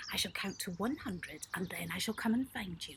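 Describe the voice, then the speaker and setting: A put-on character voice runs at a fairly quick pace and a fairly high pitch. Light background noise sits underneath. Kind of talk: bedtime story. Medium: read story. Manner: gloating, menacing.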